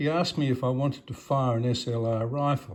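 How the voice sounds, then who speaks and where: A man talks with an Australian accent at a medium pitch. His voice is somewhat breathy, with ordinary pitch variation. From Australia, Melbourne. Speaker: retired doctor. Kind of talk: autobiographical talk to a club. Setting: club meeting with audience.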